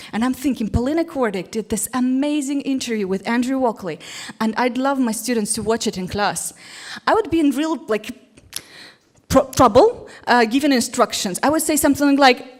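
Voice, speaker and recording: Speaking with a Russian accent, a woman talks fairly quickly at a high pitch. Her tone is animated and her intonation lively. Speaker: English teacher. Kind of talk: conference talk.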